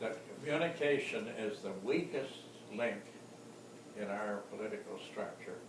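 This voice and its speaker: A man speaks with very wide pitch swings and long, frequent pauses. Audible room echo and noticeable background noise fill the recording. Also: fairly high pitch for a man, moderate pace. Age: 80s+. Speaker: retired politician and columnist. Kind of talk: interview. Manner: halting.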